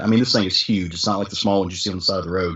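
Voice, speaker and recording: In a strong Southern US accent, a man speaks at a fairly low pitch with ordinary pitch variation. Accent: thick Southern US. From US South. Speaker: podcast host, guest on comics podcast. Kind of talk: casual chat.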